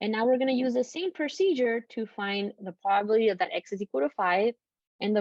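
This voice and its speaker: Lively intonation marks this woman's medium-pitched voice. She talks at a very fast pace. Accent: non-native. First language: not English. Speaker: statistics professor. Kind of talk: lecture. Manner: casual, conversational with fillers.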